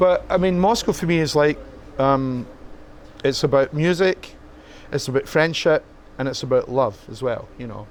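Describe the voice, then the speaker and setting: A man with a Scottish accent and a fairly high pitch, at a moderate pace with ordinary pitch variation and long, frequent pauses. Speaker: musician. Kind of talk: interview. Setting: rock club. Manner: halting.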